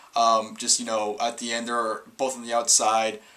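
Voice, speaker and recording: A man speaks at a fairly quick pace in a medium pitch, with noticeable background noise behind him. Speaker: wrestling reviewer. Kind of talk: casual solo review. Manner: fast; stumbling over words.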